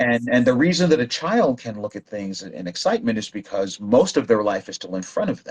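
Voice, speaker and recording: Using an unremarkable speaking voice at medium pitch, a man talks at a fairly quick pace with hardly any pauses, lively intonation and big swings in loudness. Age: 60s. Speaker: language learning guest. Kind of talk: casual chat.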